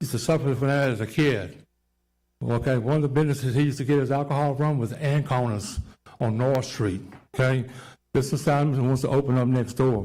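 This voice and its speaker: Talking very fast in a Louisiana accent, a man with a dark, mellow tone keeps a medium pitch and fairly even intonation while room echo is audible. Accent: Southern US, Louisiana. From Louisiana, Baton Rouge. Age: 60s. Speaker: neighborhood resident opposing rezoning. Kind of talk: public comment at zoning hearing. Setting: council chambers.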